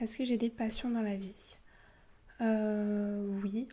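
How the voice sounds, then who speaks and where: A woman speaks very slowly in a fairly high, somewhat breathy voice with a dark, mellow tone. Her intonation stays flat and monotone. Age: 20s. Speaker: ASMR youtuber and university student. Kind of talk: casual Q&A talk to camera. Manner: soft-spoken; halting, many fillers.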